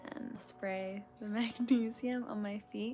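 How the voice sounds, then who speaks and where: Noticeable background noise surrounds a woman's voice. She sounds relaxed and talks at a very slow pace. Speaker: lifestyle vlogger. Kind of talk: casual vlog chat. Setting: bedroom.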